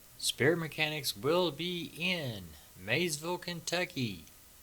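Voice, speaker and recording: A man's bright, sharp tone with vocal fry. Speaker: podcast host and tarot reader. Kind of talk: casual chat.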